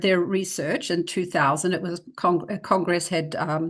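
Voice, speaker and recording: A woman in a New Zealand accent, medium-pitched, at a moderate pace against a quiet background. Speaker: educator, reading expert. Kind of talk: presentation; interview. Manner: hesitant fillers.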